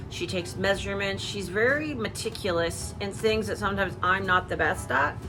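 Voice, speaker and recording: Amid noticeable background noise and audible room echo, a woman with a fairly low pitch talks at a fairly quick pace with hardly any pauses and very wide pitch swings. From Canada. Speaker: YouTube haul vlogger. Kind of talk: casual chat.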